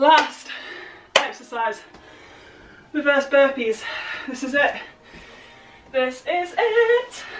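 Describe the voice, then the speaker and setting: Very slowly and at a high pitch, a woman speaks with big swings in loudness over noticeable background noise. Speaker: fitness instructor. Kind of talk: workout instruction. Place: home room. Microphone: camera far.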